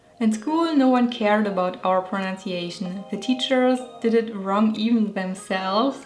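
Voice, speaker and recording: A woman with a German accent speaks at a fairly high pitch and a moderate pace, with ordinary pitch variation and hardly any pauses. Noticeable background noise is present. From Germany. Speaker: illustrator and video creator. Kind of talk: scripted narration.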